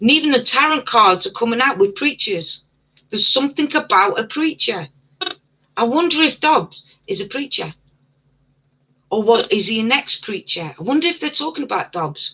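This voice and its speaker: The speaker has a British accent and a moderate pace. Long pauses come often. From UK. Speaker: livestream host. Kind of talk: casual livestream chat. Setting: live stream. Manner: stuttering at times.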